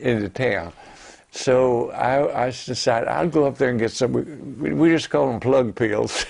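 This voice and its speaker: A man speaks at a fairly slow pace with a medium pitch and lively intonation. Vocal fry runs through his voice. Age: 80s+. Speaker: war veteran. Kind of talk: interview answer.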